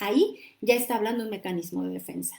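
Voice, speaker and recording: An animated tone at a moderate pace. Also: woman. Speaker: livestream host, psychology coach. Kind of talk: live-streamed talk with viewer comments. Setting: live stream on social media.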